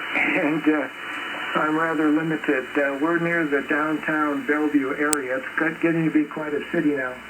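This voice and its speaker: Room echo and noticeable background noise surround a man speaking at a moderate pace. His fairly high voice stays monotone and flat. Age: 70s. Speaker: ham radio operator. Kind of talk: casual chat. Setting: radio contact. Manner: halting.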